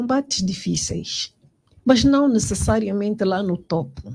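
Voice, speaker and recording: A woman's somewhat breathy voice, fairly high-pitched, with lively intonation and a dark, mellow tone. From Angola, Moxico (Luena). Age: 60s. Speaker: politician. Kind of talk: interview. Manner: halting, many repetitions and fillers.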